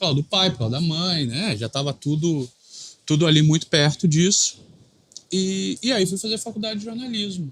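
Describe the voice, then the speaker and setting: A high-pitched man at a moderate pace, his intonation lively. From Rio de Janeiro, Brazil. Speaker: sports reporter and TV presenter. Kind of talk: podcast interview. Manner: relaxed, conversational.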